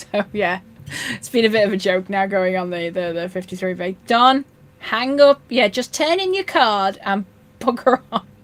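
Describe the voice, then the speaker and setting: A woman with a Yorkshire accent, medium in pitch. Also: ordinary pitch variation, moderate pace. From North Yorkshire, northern England. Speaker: fishkeeping live streamer. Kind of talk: live stream chat reading comments. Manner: casual, many fillers and restarts.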